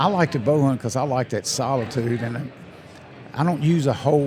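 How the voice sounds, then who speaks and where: A man talks in a fairly high voice with ordinary pitch variation. Noticeable background noise runs behind him. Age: 70s. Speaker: hunting brand ambassador. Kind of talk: casual chat. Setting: convention show floor.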